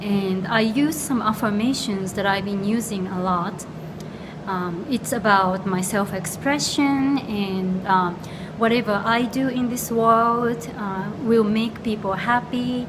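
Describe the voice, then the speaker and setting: Amid noticeable background noise and audible room echo, a woman with a Japanese accent speaks at a very slow pace and a medium pitch with ordinary pitch variation. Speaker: astrologer. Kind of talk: casual chat. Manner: halting.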